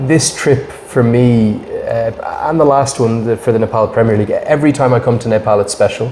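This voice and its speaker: A man at a medium pitch and moderate pace, with a Dublin accent, over noticeable background noise. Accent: Irish (Dublin). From Ireland, Dublin. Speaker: cricket commentator. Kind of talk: podcast interview.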